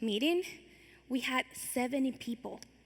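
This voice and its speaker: The speech is very slow, with ordinary pitch variation. Noticeable background noise runs underneath. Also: woman. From Venezuela. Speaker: youth leader, speaker. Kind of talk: keynote speech.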